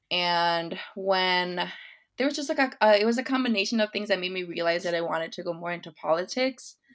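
Over a very clean recording with a silent background, a woman with an American accent and a plain, everyday voice speaks at a fairly quick pace and medium pitch. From West Chicago, Illinois, US. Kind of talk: interview. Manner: casual, many fillers like 'like' and 'um'.

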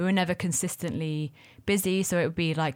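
On a very clean recording with a silent background, a woman speaks with a London accent. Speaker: restaurateur. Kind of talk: casual chat.

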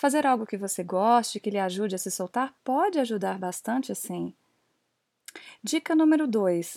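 Lively intonation carries a fairly slow delivery on a very clean recording with a silent background and a dry, close sound with no echo. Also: woman. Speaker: English teacher and podcast host. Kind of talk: solo podcast monologue.

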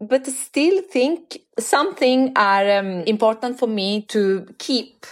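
A woman with an Italian accent at a high pitch and a very slow pace, with very wide pitch swings and hardly any pauses. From Italy, Florence. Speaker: university lecturer. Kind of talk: interview.

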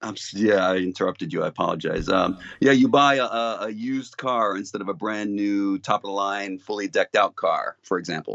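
Hardly any pauses break up this man's speech. He keeps a fairly quick pace. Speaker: co-host, caller. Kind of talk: casual chat and scripture reading. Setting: phone call.

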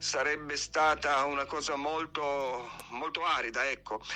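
With a plain, everyday voice, a man speaks at a fairly slow pace and a fairly high pitch, keeping his intonation fairly even. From Piedmont, Italy. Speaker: poet. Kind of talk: poetry reading. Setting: recorded voice message.

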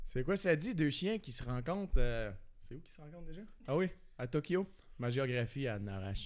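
A man's fairly high voice with very wide pitch swings and long, frequent pauses. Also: moderate pace, big swings in loudness. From Acadia. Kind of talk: joke battle banter.

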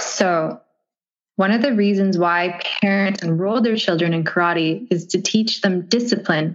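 At a fairly slow pace, a woman speaks in an unremarkable speaking voice at medium pitch, with ordinary pitch variation and very even loudness. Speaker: podcast host and karate athlete. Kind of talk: interview conversation.

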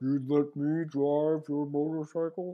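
A man puts on a character voice at a fairly high pitch. He talks at a fairly slow pace with monotone, flat intonation. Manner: menacing, mock-sinister.

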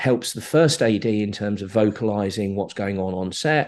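A man speaks with a southern English accent against a quiet background. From southern England (Slough). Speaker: film producer. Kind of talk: interview, casual conversation. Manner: hesitant, with many fillers.

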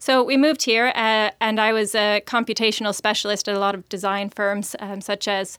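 A woman speaks in an ordinary speaking voice at a fairly high pitch and a moderate pace. The recording is very clean, with a silent background. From US. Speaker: startup founder, CEO. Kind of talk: interview conversation.

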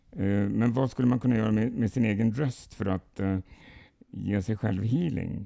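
A man's dark, mellow, fairly low-pitched voice with ordinary pitch variation, very even loudness and a moderate pace. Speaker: podcast host from a spiritualist association. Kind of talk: casual podcast conversation. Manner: halting, many fillers.

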